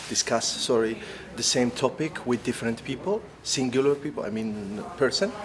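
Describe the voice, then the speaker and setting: Noticeable background noise sits behind a man speaking at a moderate pace. His medium-pitched voice has lively intonation. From Algeria. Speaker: actor. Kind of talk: interview. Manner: halting, many fillers and restarts.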